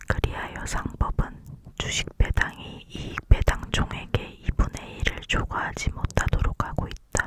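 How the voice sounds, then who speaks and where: Fairly slow whispering amid noticeable background noise. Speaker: law student. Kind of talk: ASMR textbook reading. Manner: whispered.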